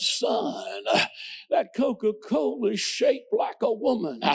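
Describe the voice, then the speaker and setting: A man speaks in a put-on character voice. It is pitched extremely high. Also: fairly slow pace. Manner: stern, sermonizing.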